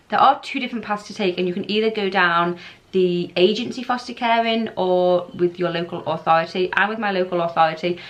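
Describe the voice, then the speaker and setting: Over noticeable background noise, a woman with a British accent talks at a fairly quick pace with hardly any pauses, her medium pitch showing ordinary variation. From England. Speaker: foster carer vlogger. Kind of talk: casual informational vlog.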